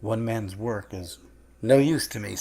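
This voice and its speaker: A man's put-on character voice at a medium pitch. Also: moderate pace. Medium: read story. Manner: calm, assured.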